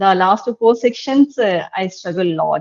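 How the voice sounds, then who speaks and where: In a Tamil Nadu accent, the speaker goes at a fairly slow pace with lively intonation, in a dry, close sound with no echo. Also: woman. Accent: Tamil Indian English. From India, Tamil Nadu. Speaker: English learner. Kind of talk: online tutoring session. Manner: halting.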